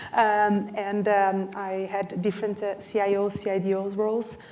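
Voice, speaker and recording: A woman of medium pitch talks with a Brazilian accent. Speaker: technology executive. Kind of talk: panel discussion.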